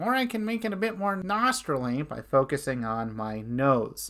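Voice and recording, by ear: A man's put-on character voice, nasal and fairly high-pitched, at a moderate pace with very wide pitch swings, on a very clean recording against a silent background.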